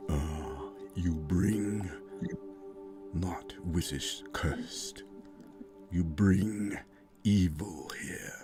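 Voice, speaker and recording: With clear music in the background, a man does a put-on character voice at a very slow pace and a very deep, low pitch. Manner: ominous, booming.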